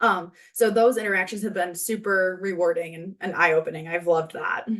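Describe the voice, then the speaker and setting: Speaking at a fairly quick pace, a woman uses a medium pitch and fairly even intonation. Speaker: healthcare administrator in training. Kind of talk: interview. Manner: loud; projecting voice.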